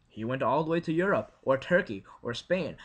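A man's bright, sharp tone at a moderate pace. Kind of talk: casual vlog rant. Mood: frustrated, sarcastic. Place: home room. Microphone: webcam.

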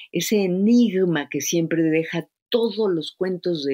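In a very clean recording with a silent background, a woman with an ordinary speaking voice talks at a fairly slow pace with lively intonation. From Mexico, Yucatán (Izamal). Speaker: poet and translator. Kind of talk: interview.

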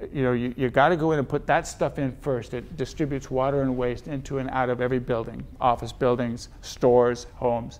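Speaking at a moderate pace, a man with an American accent keeps a monotone, flat intonation. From Southern California. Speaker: author and speaker on slavery legacy; guest. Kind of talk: public Q&A talk. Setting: library event with live audience. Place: meeting room.

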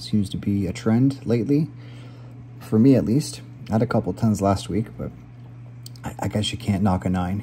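A man with a dark, mellow tone and vocal fry speaks at a moderate pace and fairly low pitch, leaving long, frequent pauses over light background noise. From Canada. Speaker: gaming YouTuber playing word puzzles. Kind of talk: live puzzle commentary. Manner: casual, filler-heavy thinking aloud. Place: kitchen. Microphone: phone near.

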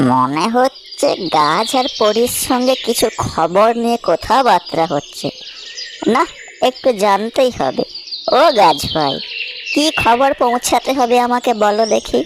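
A fairly high cartoonish character voice moves at a fairly slow pace over clear background noise.

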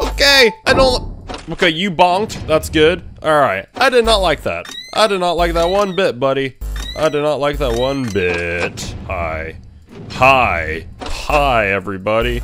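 Over background music, a man talks at a fairly slow pace. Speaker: gamer. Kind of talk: let's play commentary.

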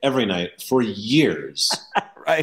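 This man's speech carries lively intonation. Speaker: interview guest. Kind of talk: interview answer. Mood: enthusiastic, warm. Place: home room.

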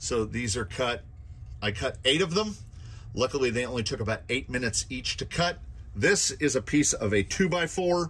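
A man at a moderate pace, with vocal fry. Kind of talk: casual show-and-tell commentary. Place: workshop. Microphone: phone near.

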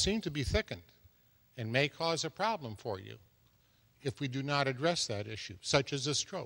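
Lively intonation marks this man's speech, which has a fairly bright tone.

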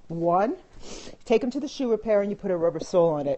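Very fast, animated delivery with lively intonation. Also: woman. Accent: New York. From Brooklyn, New York. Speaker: fashion and style vlogger. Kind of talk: casual chat. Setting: live video stream on phone. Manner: chatty, animated.

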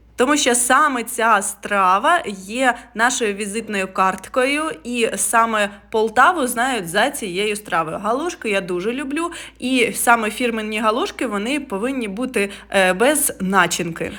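A woman's fairly high, animated voice at a fairly slow pace, with lively intonation. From Ukraine, Poltava. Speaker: travel vlogger. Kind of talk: travel vlog narration.

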